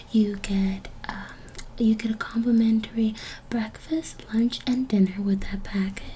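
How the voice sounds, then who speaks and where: A soft-spoken woman, fairly high in pitch and fairly slow, with noticeable background noise. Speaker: ASMR creator. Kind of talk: ASMR hotel check-in roleplay.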